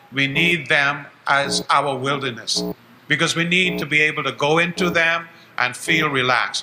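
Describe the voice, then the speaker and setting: A man with a fairly high pitch speaks at a moderate pace with fairly even intonation. There is noticeable background noise. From Bahamas. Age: 70s. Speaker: educator and activist. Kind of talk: closing statement at town hall. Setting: town hall meeting broadcast live on radio.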